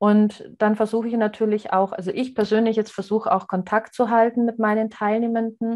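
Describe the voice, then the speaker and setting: A woman with a fairly high pitch speaks at a fairly quick pace in monotone, flat intonation, with hardly any pauses. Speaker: adult education trainer. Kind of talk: interview.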